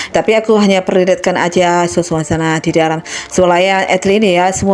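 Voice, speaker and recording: A woman's fairly even intonation and fairly quick pace come through noticeable background noise. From Medan, North Sumatra, Indonesia. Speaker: vlogger. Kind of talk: casual vlog talk to camera.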